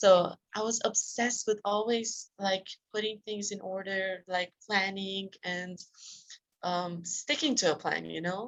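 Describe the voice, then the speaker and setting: A woman speaks at a medium pitch. Her pace is fairly slow and her intonation fairly even. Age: 20s. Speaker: self-discipline coach. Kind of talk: interview. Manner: hesitant, many fillers.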